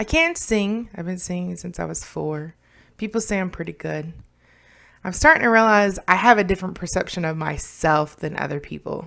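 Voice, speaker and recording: On a very clean recording with a silent background, a woman talks at a moderate pace and medium pitch, with ordinary pitch variation and big swings in loudness. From Kentucky, born in New York. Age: 30s. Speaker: vlogger, learning center manager and ESL teacher. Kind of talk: casual vlog monologue. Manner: casual, with frequent fillers.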